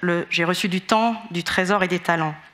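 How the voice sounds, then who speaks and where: A woman's medium-pitched voice at a moderate pace with fairly even intonation, over noticeable background noise. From Australia. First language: English (speaking French). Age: 30s. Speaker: HR director. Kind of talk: testimony.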